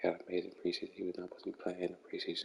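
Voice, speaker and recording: A man speaks quietly. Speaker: gaming streamer. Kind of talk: live stream gameplay commentary.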